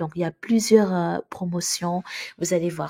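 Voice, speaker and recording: A woman with a Senegalese accent speaks at a fairly slow pace, her intonation fairly even and her voice somewhat breathy. The tone is dark and mellow, and the sound is dry and close with no echo. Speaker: YouTuber on Canada immigration. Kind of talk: casual video announcement. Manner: hesitant, many fillers.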